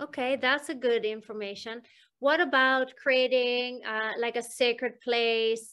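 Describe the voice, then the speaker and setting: A woman talks at a fairly slow pace in a high pitch and a bright, sharp tone, with fairly even intonation over a quiet background. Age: 50s. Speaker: hypnosis healing practitioner, interviewer; interviewer. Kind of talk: interview. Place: home room. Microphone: video call.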